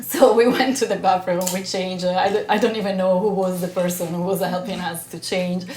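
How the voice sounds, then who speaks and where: There is noticeable background noise. A woman with an Italian accent talks at a fairly quick pace and medium pitch. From Italy. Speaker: actress. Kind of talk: podcast interview answer.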